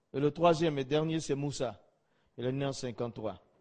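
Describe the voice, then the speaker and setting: A man speaks at a moderate pace. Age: 50s. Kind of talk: testimony.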